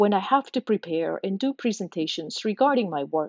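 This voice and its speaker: A woman with a non-native accent speaks at a moderate pace in a medium pitch, her intonation lively. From outside the US, immigrant. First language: not English. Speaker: podcast host, systems engineer. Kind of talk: scripted narration. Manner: formal.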